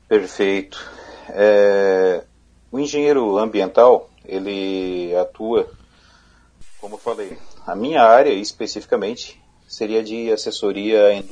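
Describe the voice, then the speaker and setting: A man speaks at a very slow pace with fairly even intonation. Long, frequent pauses and big swings in loudness mark his delivery. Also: fairly low pitch for a man. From southern Santa Catarina, Brazil (Criciúma). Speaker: environmental engineer, regulatory inspection manager. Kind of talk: live radio interview. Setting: radio studio.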